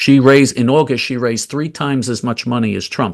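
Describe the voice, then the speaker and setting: With an American accent, this is an ordinary speaking voice at a moderate pace over a quiet background. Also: man. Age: 60s. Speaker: political activist. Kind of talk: interview.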